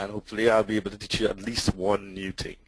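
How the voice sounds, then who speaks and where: Delivery comes at a very fast pace with a Trinidadian accent. The intonation stays fairly even. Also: man. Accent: Trinidadian, noticeable. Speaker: tech conference speaker. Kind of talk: webinar presentation.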